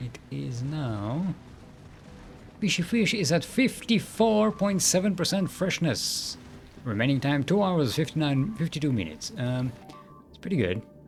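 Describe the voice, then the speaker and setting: A man speaks at a fairly high pitch and a fairly slow pace, somewhat breathy. His pitch swings very widely and his loudness shifts a lot. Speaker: video game streamer. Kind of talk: live gameplay commentary. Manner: soothing; casual, meandering.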